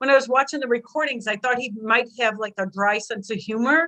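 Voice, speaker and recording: A loud woman with a bright, sharp tone, fairly high pitch, ordinary pitch variation and moderate pace. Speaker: guest on a chat show. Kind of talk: casual chat.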